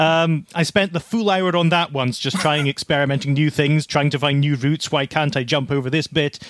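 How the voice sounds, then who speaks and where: With hardly any pauses, a man in a normal speaking voice talks at a fairly quick pace and a fairly high pitch, with fairly even intonation and very even loudness. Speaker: retro game enthusiast and speedrunner. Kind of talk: casual chat.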